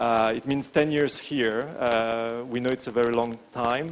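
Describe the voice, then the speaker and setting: At a fairly slow pace, a man speaks with a French accent and a medium pitch. His intonation stays fairly even. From France. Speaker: branding agency founder and CEO. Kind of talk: conference talk. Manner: hesitant, many filler words.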